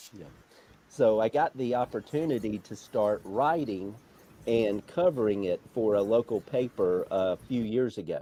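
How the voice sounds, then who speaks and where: With an Alabama accent, a man speaks at a fairly slow pace in a medium pitch, his tone dark and mellow and his pitch moving in an ordinary way. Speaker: motorsport journalist. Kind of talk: interview.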